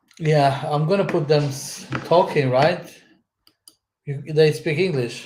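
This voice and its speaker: There's audible room echo as a man with a fairly high voice speaks at a very slow pace. His intonation is fairly even, and his pauses are long and frequent. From Madeira, Portugal. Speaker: channel owner. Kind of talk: casual live stream commentary. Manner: halting.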